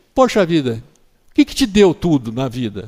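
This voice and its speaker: Fairly high male speech with very broad swings in pitch. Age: 60s. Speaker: orthopedic doctor. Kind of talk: interview.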